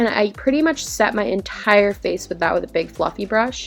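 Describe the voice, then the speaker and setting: A woman's medium-pitched voice with lively intonation at a fairly quick pace, music in the background. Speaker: beauty vlogger. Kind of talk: makeup tutorial voice-over. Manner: casual, chatty.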